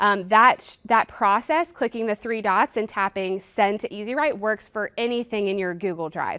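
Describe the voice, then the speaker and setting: In a plain, everyday voice, a woman speaks at medium pitch and moderate pace with ordinary pitch variation, recorded very cleanly against a silent background with a dry, close sound and no echo. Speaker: product trainer, former teacher. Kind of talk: product demo workshop.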